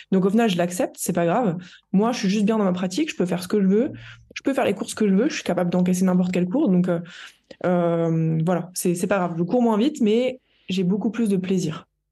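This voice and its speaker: A woman's somewhat breathy voice with a dark, mellow tone, medium pitch, ordinary pitch variation and a fairly quick pace. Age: 20s. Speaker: nutritionist and endurance athlete. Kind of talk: interview.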